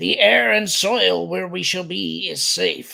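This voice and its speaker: In a put-on character voice, the speaker sounds gravelly and moves at a fairly slow pace. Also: man, medium pitch for a man. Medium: read story. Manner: terse, formal.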